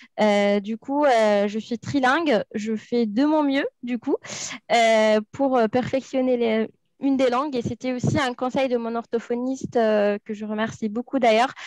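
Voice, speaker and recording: In a dry, close recording with no echo, a woman with a high pitch speaks at a fairly slow pace with fairly even intonation. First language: not French (speaking French). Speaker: recruitment officer and co-presenter. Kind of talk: panel discussion on a live stream. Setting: live video stream. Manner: hesitant, many fillers.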